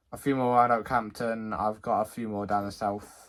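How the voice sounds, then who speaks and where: A man with a fairly low pitch speaks at a very fast pace and with fairly even intonation on a very clean recording with a silent background. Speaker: railway video creator. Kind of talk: casual video outro. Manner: halting, frequent stutters and fillers.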